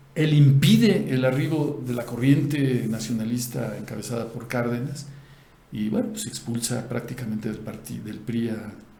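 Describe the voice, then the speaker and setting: With audible room echo around him, a man speaks at a medium pitch, his pitch varying in an ordinary way and his loudness swinging widely. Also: moderate pace. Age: 60s. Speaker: news commentator. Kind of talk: casual political discussion.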